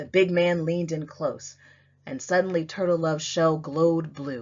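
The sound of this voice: A woman talks at a fairly slow pace and a low pitch. Her tone is slightly mellow and her intonation fairly even.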